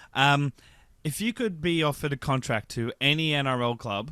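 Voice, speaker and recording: With an Australian accent, this man is talking. The rise and fall of his pitch is ordinary. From New South Wales, Australia. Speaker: podcast host. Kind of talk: interview.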